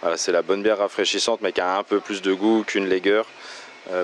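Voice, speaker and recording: A man's very deep, low voice at a fairly quick pace, with noticeable background noise. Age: 30s. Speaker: beer shop owner. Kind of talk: interview. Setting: in his shop. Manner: hesitant with fillers.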